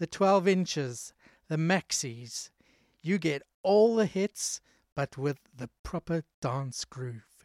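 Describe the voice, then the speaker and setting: The recording is very clean, with a silent background. The speech moves at a very slow pace. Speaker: radio DJ and presenter. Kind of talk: radio DJ patter introducing and back-announcing dance tracks between songs. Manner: upbeat, chatty, energetic; casual, playful, jokey.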